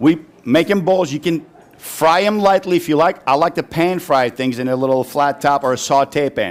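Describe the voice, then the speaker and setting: A Turkish accent at a moderate pace, with ordinary pitch variation. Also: man, fairly high pitch for a man. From Turkey (Istanbul). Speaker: chef. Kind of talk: cooking demonstration. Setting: live audience at a farm dinner. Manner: casual, chatty.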